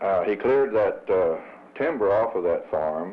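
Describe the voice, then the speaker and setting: A man with a Missouri Bootheel accent, at a fairly slow pace. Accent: Southern US, Missouri Bootheel. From Missouri Bootheel, Kennett area. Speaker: former chamber of commerce president. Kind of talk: interview reminiscence. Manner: hesitant, many uh fillers.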